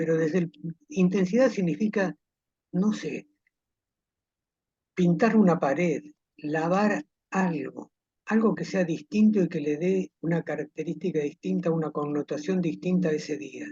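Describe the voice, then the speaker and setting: A man with a high pitch and a dark, mellow tone speaks at a fairly slow pace with ordinary pitch variation and long, frequent pauses, the sound dry and close with no echo. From Argentina, Villa Dolores, Córdoba province. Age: 70s. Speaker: retired army officer, war veteran. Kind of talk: interview testimony.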